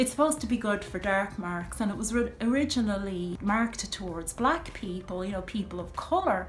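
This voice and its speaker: Amid noticeable background noise and audible room echo, a woman with an Irish accent talks at a moderate pace, her fairly high pitch carrying lively intonation. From Ireland. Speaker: video blogger. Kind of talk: casual monologue to camera. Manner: chatty, full of fillers.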